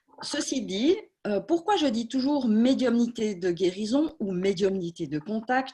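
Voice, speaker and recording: A woman speaks with a dark, mellow tone that is somewhat breathy. The background is quiet. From Switzerland, Swiss Jura. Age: 40s. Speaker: medium. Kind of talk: talk at an online conference. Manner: hesitant, many fillers.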